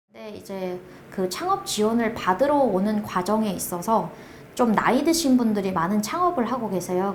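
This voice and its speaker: Amid audible room echo and noticeable background noise, a woman speaks at a moderate pace in a fairly high voice with lively intonation. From North Korea. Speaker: project manager at a support organization. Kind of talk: interview. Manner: halting.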